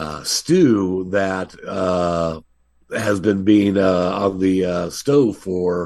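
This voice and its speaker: A man's very deep, low voice at a very slow pace, with fairly even intonation. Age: 60s. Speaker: film director. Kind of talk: interview. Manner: halting, many fillers.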